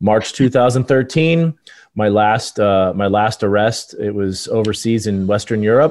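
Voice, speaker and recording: A man with a normal speaking voice talks at a fairly slow pace and fairly low pitch, with ordinary pitch variation. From Los Angeles. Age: 40s. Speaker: cybersecurity consultant, former Secret Service agent. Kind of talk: interview.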